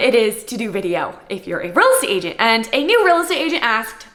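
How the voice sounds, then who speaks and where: Over noticeable background noise, a high-pitched woman with an American accent speaks with very wide pitch swings. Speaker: real estate agent. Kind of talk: Q&A vlog, reading typed answers.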